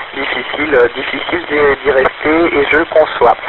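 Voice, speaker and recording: A man with a fairly high voice and ordinary pitch variation, talking fairly slowly against noticeable background noise. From France. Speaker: ham radio operator. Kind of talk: ham radio conversation. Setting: portable radio link. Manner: halting.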